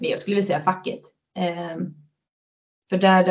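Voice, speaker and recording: The woman's intonation stays monotone and flat while she talks fairly quickly. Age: 30s. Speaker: floorball player. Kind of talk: casual interview chat.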